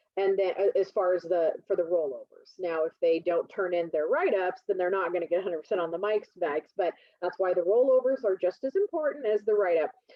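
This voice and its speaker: A woman's medium-pitched voice at a very fast pace, very even in loudness, with hardly any pauses and ordinary pitch variation. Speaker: college instructor. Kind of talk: lecture. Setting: video call.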